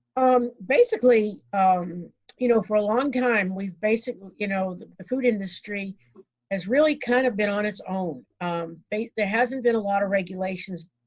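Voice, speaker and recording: A woman with an American accent speaks in a medium pitch, her voice somewhat breathy. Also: ordinary pitch variation. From New England, Boston area. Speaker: food safety consultant speaker. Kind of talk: virtual presentation. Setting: video call from home. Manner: fast, rushing; halting, many fillers.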